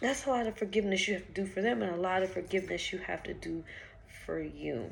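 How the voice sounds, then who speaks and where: A woman at medium pitch speaks at a very fast pace with vocal fry. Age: 20s. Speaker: vlogger. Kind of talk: casual vlog monologue. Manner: conversational, frequent filler ums.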